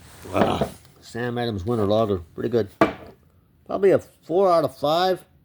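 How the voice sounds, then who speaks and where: A man speaks at a medium pitch and moderate pace, with very wide pitch swings and a relaxed tone. Noticeable background noise runs underneath. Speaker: YouTuber reviewing drinks. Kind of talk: casual vlog review. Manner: relaxed, rambling.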